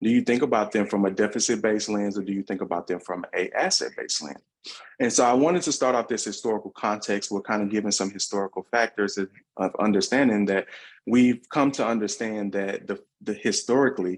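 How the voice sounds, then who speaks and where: A man with a Southern US accent talks at a very fast pace in a fairly low voice. His pitch variation is ordinary, and the background is quiet. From US South. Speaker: workshop facilitator / researcher. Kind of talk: online workshop presentation. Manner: hesitant fillers.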